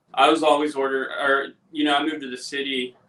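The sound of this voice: A man's bright, sharp tone at medium pitch, fairly quick in pace with little pitch movement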